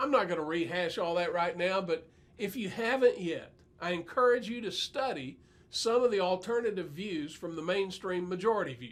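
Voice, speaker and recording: Speaking with an American accent, a high-pitched man uses lively intonation at a moderate pace. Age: 60s. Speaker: preacher. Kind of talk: bible teaching monologue.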